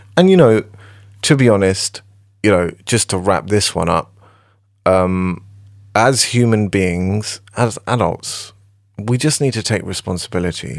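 In a British accent, a man speaks fairly slowly at a fairly low pitch with ordinary pitch variation, leaving long, frequent pauses. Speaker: music producer. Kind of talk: casual chat.

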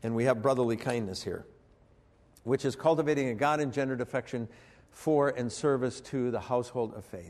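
This man has a medium pitch and ordinary pitch variation. His pace is fairly quick. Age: 50s. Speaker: preacher. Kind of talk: sermon.

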